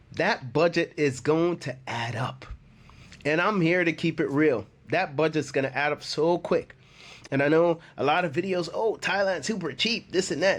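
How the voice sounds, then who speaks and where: A man's fairly high voice with a slight Jamaican accent, moderate pace and ordinary pitch variation, over a quiet background. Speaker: expat YouTuber. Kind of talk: casual vlog talk. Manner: conversational, repetitive with many fillers.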